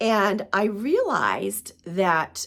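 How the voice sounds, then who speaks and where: A woman talks with vocal fry. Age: 50s. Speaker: spiritual coach, podcaster. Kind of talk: casual talk to camera.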